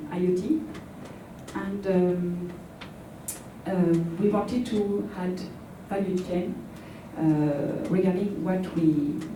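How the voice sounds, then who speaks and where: In a French accent, a woman at medium pitch speaks very slowly amid audible room echo and noticeable background noise. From France (Paris). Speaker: startup co-founder. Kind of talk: conference presentation. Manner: halting, many fillers.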